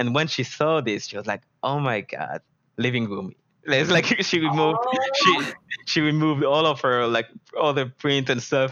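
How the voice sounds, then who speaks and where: A man with a French accent and a fairly high pitch. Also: ordinary pitch variation, moderate pace. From France. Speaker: 3D environment artist. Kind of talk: interview.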